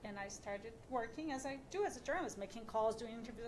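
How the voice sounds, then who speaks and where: A woman with a non-native accent at a very fast pace, amid audible room echo and noticeable background noise. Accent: foreign. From Brazil. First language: Portuguese. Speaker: radio journalist and podcast creator. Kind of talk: panel discussion.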